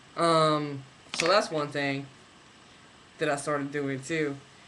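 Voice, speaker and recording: Against noticeable background noise, a man with a fairly high pitch speaks at a very slow pace. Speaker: vlogger. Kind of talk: video diary. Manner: rambling, halting with fillers. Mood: relaxed, reflective. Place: home room. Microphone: webcam.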